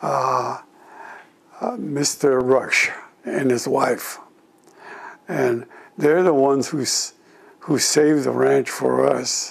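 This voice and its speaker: A man with an American accent speaks at a very slow pace. Long, frequent pauses break his speech over noticeable background noise. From California, US (Gilroy). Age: 80s+. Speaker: war veteran. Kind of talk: oral history interview. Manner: halting.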